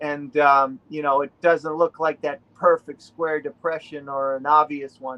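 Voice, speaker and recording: In a Boston accent, a man speaks at a fairly slow pace with hardly any pauses. His fairly high voice has a monotone, flat intonation. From New England, Rhode Island. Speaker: relic hunter. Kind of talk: casual interview.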